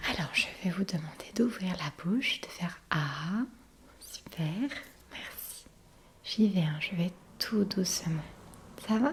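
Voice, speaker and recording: Over noticeable background noise, a soft-spoken woman with a medium pitch uses lively intonation and takes long, frequent pauses. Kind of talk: ASMR doctor role-play.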